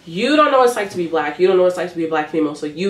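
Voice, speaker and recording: A woman talks with lively intonation at a fairly low pitch. Noticeable background noise runs behind her. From Ghana. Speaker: university student. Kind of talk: interview. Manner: articulate, clear endings.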